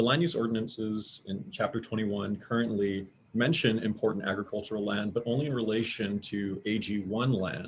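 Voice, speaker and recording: Speaking at a fairly quick pace with hardly any pauses, a man keeps a fairly low pitch and fairly even intonation. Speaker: attorney testifying for a client. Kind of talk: public testimony at a government hearing. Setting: video conference. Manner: fast; halting, many fillers and repetitions. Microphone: too quiet at first.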